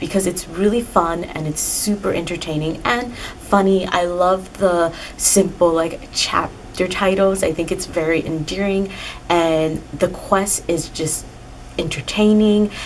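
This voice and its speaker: With noticeable background noise behind her, a woman speaks fairly slowly at a fairly low pitch with fairly even intonation. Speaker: book reviewer. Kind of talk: casual talk to camera. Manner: monotone.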